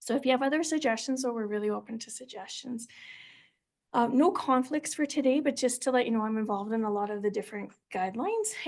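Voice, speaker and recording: This woman's voice is high-pitched. She talks very fast. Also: ordinary pitch variation. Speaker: physician and clinician-scientist. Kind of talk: lecture.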